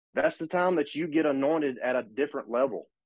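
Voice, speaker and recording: A man with an Alabama accent, very fast pace, ordinary pitch variation. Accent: Southern US (Alabama). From US South, northern Alabama. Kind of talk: casual chat.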